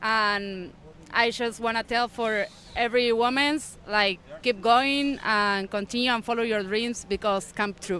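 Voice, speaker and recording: A woman speaks at a fairly slow pace in a fairly high pitch, her tone bright and sharp and her intonation fairly even. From Argentina. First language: Spanish. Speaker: bodyboarder and lifeguard. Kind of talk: interview. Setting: live event broadcast. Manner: halting.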